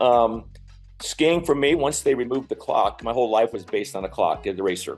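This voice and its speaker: Music plays in the background. A man with an American accent talks at a moderate pace. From Colorado, Aspen. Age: 70s. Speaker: former ski racer. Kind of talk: casual interview.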